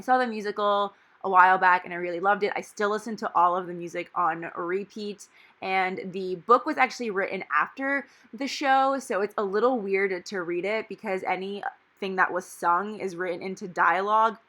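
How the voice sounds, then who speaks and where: A woman with a bright, sharp tone speaks at a moderate pace. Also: medium pitch for a woman, ordinary pitch variation. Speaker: planner vlogger. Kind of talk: casual tutorial narration. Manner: stumbling over words.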